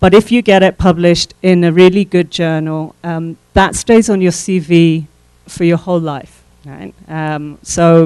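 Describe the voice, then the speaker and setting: On a very clean recording with a silent background, a woman with a fairly low pitch and a dark, mellow tone speaks fairly slowly, her intonation fairly even but her loudness swinging widely. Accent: English. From England. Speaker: professor. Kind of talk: workshop lecture.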